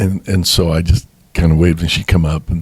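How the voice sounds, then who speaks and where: Somewhat breathy and very deep, a man's voice carries an American accent and monotone, flat intonation. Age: 70s. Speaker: bishop and pastor. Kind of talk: interview testimony. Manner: halting.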